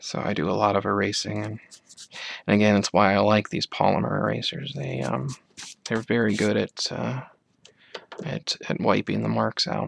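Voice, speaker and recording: Whispering and soft-spoken, a man talks at a moderate pace with long, frequent pauses, the sound dry and close with no echo. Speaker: amateur artist. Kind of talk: ASMR soft-spoken drawing tutorial. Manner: soft-spoken, whispery.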